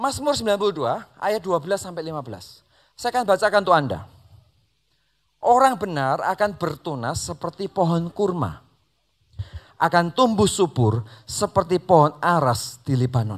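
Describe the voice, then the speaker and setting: A man speaks at a moderate pace in a high pitch, with very wide pitch swings. The recording is very clean, with a silent background. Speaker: pastor. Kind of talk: sermon.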